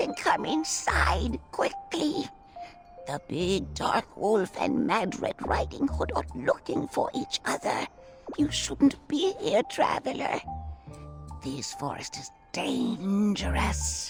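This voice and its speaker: A cartoonish character voice speaks at a very slow pace. Clear music sounds in the background. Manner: soft, grandmotherly, storytelling.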